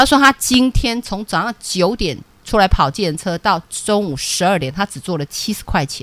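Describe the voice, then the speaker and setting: A woman at medium pitch with an animated tone, very wide pitch swings, a moderate pace and hardly any pauses. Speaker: stock market analyst. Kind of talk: radio stock analysis show.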